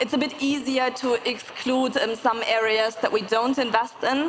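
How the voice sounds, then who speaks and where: Speaking with a German accent, a woman keeps a moderate pace and fairly even intonation at a high pitch. Noticeable background noise is present. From Germany. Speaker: venture capital investor. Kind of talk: panel discussion.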